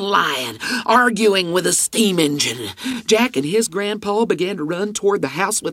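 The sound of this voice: An unforced reading voice and its ordinary pitch variation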